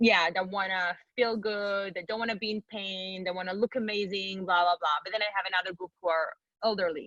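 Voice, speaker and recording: With an Israeli accent, a woman talks at a fairly quick pace. Her pitch sits in the medium range. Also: fairly even intonation. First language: Hebrew. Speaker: personal trainer and bodybuilder. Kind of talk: interview.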